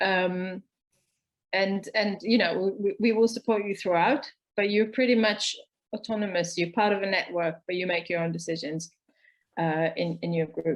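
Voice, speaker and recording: A woman's plain, everyday voice at a medium pitch, with ordinary pitch variation and a moderate pace. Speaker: co-op organizer and co-founder. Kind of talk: online talk session. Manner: many filler words and repetitions.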